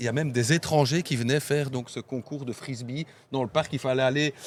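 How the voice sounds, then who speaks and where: The speaker is a man at a medium pitch. He uses ordinary pitch variation and keeps a moderate pace. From Belgium, Namur (La Plante district). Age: 50s. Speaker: association president. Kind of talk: casual interview chat. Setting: outdoors by the river. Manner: halting, many hesitations.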